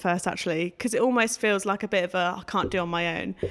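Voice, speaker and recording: A woman talks at a very fast pace on a very clean recording with a silent background. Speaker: recent textile design graduate. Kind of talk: interview. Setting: studio. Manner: informal.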